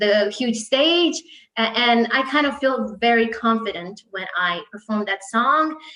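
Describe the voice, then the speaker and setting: Her voice fairly high, a woman speaks with a Croatian accent and ordinary pitch variation. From Croatia, Split. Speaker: singer. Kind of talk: interview. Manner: hesitant, many fillers.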